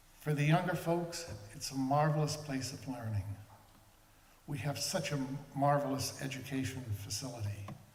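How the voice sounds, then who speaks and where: A man with an American accent talks at a fairly high pitch and a moderate pace, with ordinary pitch variation and long, frequent pauses. Noticeable background noise and audible room echo are present. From Martha's Vineyard, Massachusetts. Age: 70s. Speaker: museum supporter giving remarks. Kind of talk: speech at a ceremony.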